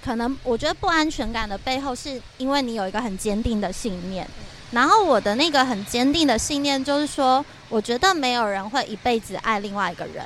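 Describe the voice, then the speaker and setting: Over noticeable background noise, a woman talks fairly quickly in a high pitch with lively intonation. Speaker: podcast co-host. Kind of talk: casual chat. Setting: windy rooftop balcony at her home.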